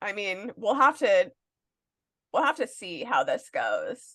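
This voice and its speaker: A woman's fairly high voice with an American accent, at a very slow pace. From northeastern Pennsylvania. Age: 30s. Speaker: podcast co-host. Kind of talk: casual chat.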